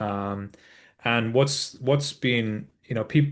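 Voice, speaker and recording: A man speaks with a British accent at medium pitch. The background is quiet. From UK. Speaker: ed-tech executive. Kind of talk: interview. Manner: hesitant, many fillers.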